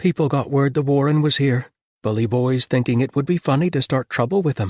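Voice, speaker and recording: In a gruff put-on character voice at a fairly high pitch, a man talks at a fairly quick pace against a quiet background. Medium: read story.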